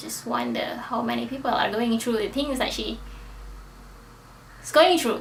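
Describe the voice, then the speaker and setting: A woman with a non-native accent speaks at a fairly high pitch. Audible room echo and noticeable background noise fill the recording. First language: not English. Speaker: book vlogger. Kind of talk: casual book review monologue. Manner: hesitant, with fillers.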